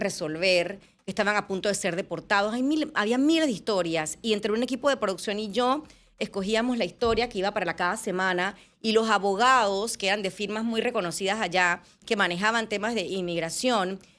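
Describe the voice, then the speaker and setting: Ordinary pitch variation marks a woman's medium-pitched voice at a fairly quick pace. The recording is very clean, with a silent background. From Panama. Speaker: journalist and TV presenter. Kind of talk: interview conversation.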